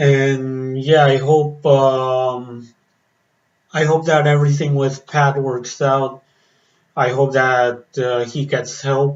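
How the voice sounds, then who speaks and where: A man speaks at a very slow pace in a monotone with flat intonation. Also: medium pitch for a man. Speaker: metal reaction vlogger. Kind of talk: casual vlog commentary. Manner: hesitant with many fillers.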